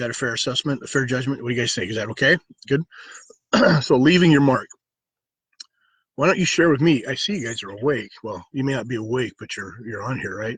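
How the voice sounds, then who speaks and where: A man with a medium-pitched voice talks very fast, leaving long, frequent pauses, his loudness swinging widely and his pitch varying in an ordinary way. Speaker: life coach and martial arts instructor. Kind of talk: live stream talk to viewers. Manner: soft-spoken; halting, many fillers.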